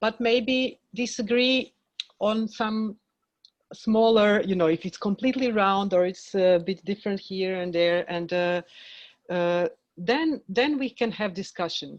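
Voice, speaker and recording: With a Croatian accent, the speaker goes at a fairly slow pace with ordinary pitch variation over a quiet background. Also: woman, medium pitch for a woman. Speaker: film director. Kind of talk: panel discussion. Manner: halting.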